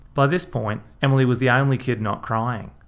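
The text comes in a natural reading voice, its intonation fairly even.

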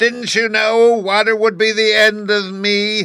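Using a put-on character voice, a man speaks at a high pitch and a fairly slow pace. His intonation stays monotone and flat. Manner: wailing, desperate.

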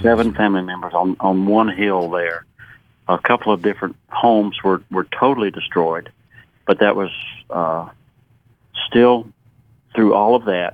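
A man with a Southern US accent speaks at a moderate pace in a fairly low voice. His intonation stays fairly even, broken by long, frequent pauses. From Western North Carolina. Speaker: retired pharmacist, disaster relief volunteer. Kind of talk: radio interview. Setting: phone call.

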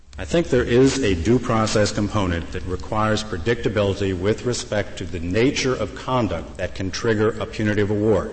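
Noticeable background noise sits behind this recording. A man with a fairly low pitch talks at a fairly quick pace. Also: ordinary pitch variation. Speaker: lawyer arguing before the court. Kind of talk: oral argument. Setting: courtroom.

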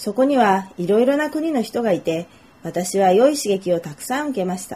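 A woman with a fairly high pitch and a dark, mellow tone speaks at a moderate pace, her pitch swinging very widely. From Japan, Nagoya. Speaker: Japanese language tutor. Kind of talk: self-introduction monologue for learners.

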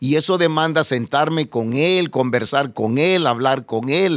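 A man talks at a moderate pace, his pitch varying in an ordinary way, on a very clean recording with a silent background. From El Salvador. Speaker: pastor and evangelist. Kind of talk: testimony interview. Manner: halting, repeats words.

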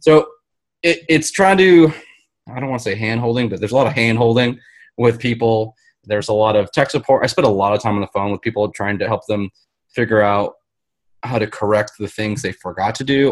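With an American accent, a man talks in an unremarkable speaking voice at a medium pitch, with ordinary pitch variation. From US. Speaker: guest, lighting and AV programmer. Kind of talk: casual chat.

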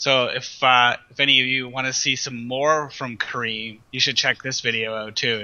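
Noticeable background noise sits behind a man speaking at a moderate pace. His intonation stays monotone and flat. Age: 30s. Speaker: music blogger. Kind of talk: casual chat.

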